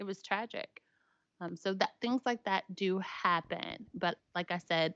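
A woman talks very slowly in a Tennessee accent. The sound is dry and close, with no echo. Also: quiet background. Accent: Southern US (Tennessee). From Tennessee, Williamson County. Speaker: motorcycle apparel business owner. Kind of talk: casual interview chat.

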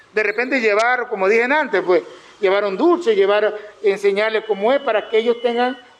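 A man's high-pitched voice with very even loudness and ordinary pitch variation. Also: fairly quick pace. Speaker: regional culture ministry director. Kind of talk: informational talk to artisan group.

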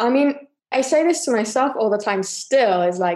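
The voice has a British accent, a dark, mellow tone and lively intonation. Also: woman. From UK. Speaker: yoga teacher. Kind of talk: casual interview chat.

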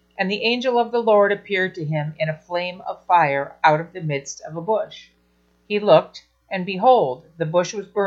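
The voice heard here reads in a natural way.

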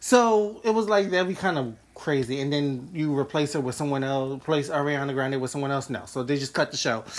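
Amid noticeable background noise, the speaker talks at a fairly quick pace in an animated tone. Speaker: podcast host. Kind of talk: casual chat. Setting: live video chat. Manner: animated, joking.

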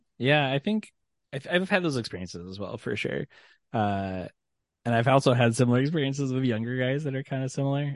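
Here is a man with an ordinary speaking voice at a medium pitch. He talks at a fairly quick pace with lively intonation. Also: quiet background. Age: 30s. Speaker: podcast guest. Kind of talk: casual chat.

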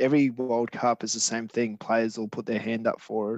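Intonation stays fairly even. The speaker has an Australian accent. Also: man. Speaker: stand-in podcast co-host. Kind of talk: casual chat.

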